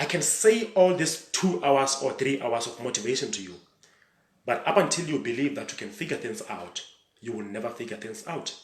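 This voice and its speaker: A man with a medium pitch talks at a moderate pace, his pitch swinging very widely. His loudness also swings a lot, and the room echo is audible. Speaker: motivational speaker and coach. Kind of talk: motivational talk. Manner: animated.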